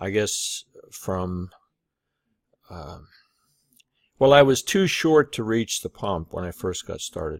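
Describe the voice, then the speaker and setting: A man at a fairly low pitch and very slow pace, with very wide pitch swings, big swings in loudness and long, frequent pauses, the sound dry and close with no echo on a very clean recording with a silent background. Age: 60s. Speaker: online business coach. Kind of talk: casual vlog monologue. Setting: talking to camera. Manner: halting, many fillers.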